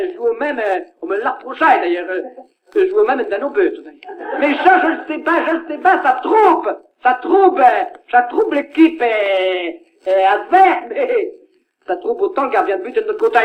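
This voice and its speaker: The speaker has a Picard accent and very wide pitch swings. Long, frequent pauses break up the speech. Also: man, extremely high pitch for a man, moderate pace. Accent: Picard (Ch'ti) dialect. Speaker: comedian. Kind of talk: comic monologue record.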